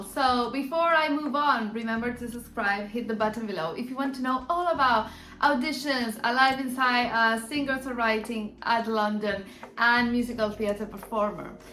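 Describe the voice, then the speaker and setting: Amid noticeable background noise and audible room echo, a woman with an Argentine accent talks at a moderate pace and a high pitch. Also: hardly any pauses. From Argentina. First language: Spanish. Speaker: musical theatre performer and vlogger. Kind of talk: casual vlog talk. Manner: halting, many fillers.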